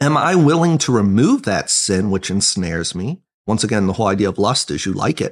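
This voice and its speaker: A man with a plain, everyday voice and a fairly low pitch talks at a moderate pace with lively intonation. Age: 30s. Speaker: associate pastor. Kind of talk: casual bible discussion podcast.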